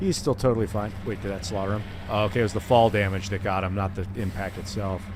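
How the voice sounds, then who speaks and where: A man with an Ohio accent talks at a very fast pace in a fairly low pitch. Audible room echo and noticeable background noise fill the recording. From US Midwest, Ohio (Akron area). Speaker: gaming streamer. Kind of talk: live gameplay stream, casual chat. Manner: animated.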